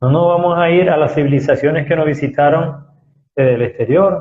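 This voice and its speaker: The voice is soft-spoken and somewhat breathy. Its intonation stays fairly even. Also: man. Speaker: spiritual talk show host. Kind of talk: lecture. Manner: slow.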